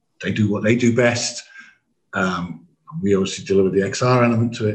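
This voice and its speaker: A man speaks with an English accent at a medium pitch, somewhat breathy. His intonation is fairly even and his pace fairly quick. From England. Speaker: AV company managing director. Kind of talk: podcast interview.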